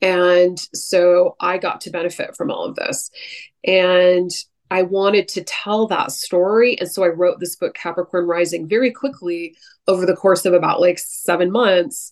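In an ordinary speaking voice, a woman talks at a moderate pace with an American accent. Her pitch is medium and her intonation fairly even. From US West Coast, San Francisco Bay Area. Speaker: astrologer. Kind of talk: casual interview conversation.

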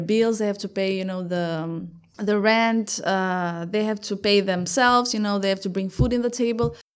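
Someone with an Albanian accent talks at a fairly quick pace with fairly even intonation. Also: woman, very clean recording, silent background. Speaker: startup founder. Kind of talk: interview.

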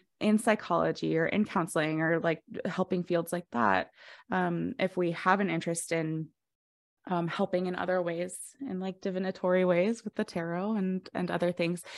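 A woman with an American accent speaks in a plain, everyday voice, fairly low in pitch, with fairly even intonation at a moderate pace on a very clean recording with a silent background. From Colorado. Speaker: podcast host, astrologer. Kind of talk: interview.

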